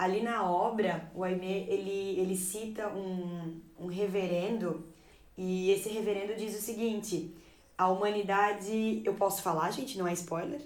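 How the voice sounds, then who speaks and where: At a fairly slow pace, a woman with a medium pitch speaks with fairly even intonation amid audible room echo. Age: 20s. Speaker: Portuguese teacher and editor. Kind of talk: casual discussion.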